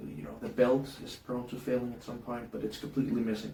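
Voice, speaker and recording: Audible room echo surrounds a man with a Danish accent speaking at a medium pitch. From Denmark. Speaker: hobbyist YouTuber. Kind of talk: casual tutorial. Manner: halting, many fillers.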